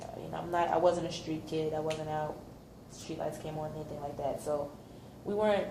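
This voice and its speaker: A woman with a New York accent speaks at a fairly quick pace with a very deep, low pitch, monotone, flat intonation and big swings in loudness. Audible room echo and noticeable background noise fill the recording. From New York City, Brooklyn. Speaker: volunteer interviewee. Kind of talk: counseling practice interview.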